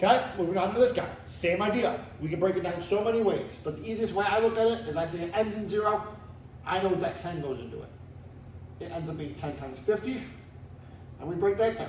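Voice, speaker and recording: Amid noticeable background noise and audible room echo, a high-pitched man speaks at a fairly quick pace with ordinary pitch variation and long, frequent pauses. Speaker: math teacher. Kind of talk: tutorial. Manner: fast.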